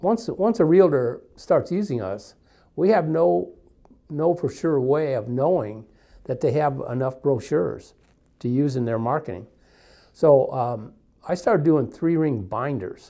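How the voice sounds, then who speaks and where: A man speaks at a fairly slow pace in a dark, mellow tone, with long, frequent pauses and very wide pitch swings. The background is quiet. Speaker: co-host, sales staff. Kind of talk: casual conversation. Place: studio. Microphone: lapel.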